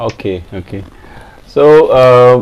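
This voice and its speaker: A man speaks with an Indian accent. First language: Hindi. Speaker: classical singer. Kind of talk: self-introduction. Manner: halting.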